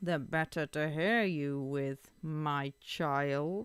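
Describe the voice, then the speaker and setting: A very slow pace marks this delivery. It is a put-on character voice pitched in the middle range. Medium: read story. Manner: sly, wheedling.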